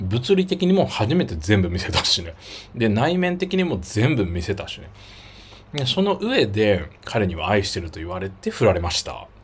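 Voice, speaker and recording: Somewhat breathy and fairly low, a man's voice moves at a moderate pace with very wide pitch swings and big swings in loudness, over light background noise. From Japan, Miyazaki. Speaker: YouTuber. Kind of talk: livestream casual chat. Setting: livestream. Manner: animated. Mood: reflective, personal storytelling. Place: home room.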